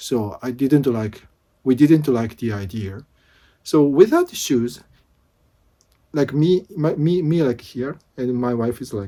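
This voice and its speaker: A man's dark, mellow voice at a medium pitch, with a Japanese accent, lively intonation, a very slow pace and long, frequent pauses, on a very clean recording with a silent background. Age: 50s. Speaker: vlogger. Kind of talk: casual vlog talk. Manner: halting.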